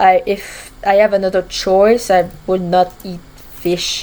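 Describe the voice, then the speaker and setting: Speaking very slowly in a French accent, a woman keeps her voice at a medium pitch. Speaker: gaming vlogger. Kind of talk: casual chat. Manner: halting.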